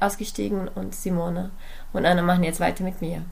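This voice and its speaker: A woman speaks in a medium pitch, her voice carrying audible room echo. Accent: Portuguese. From Brazil. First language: Portuguese (speaking German). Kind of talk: podcast interview.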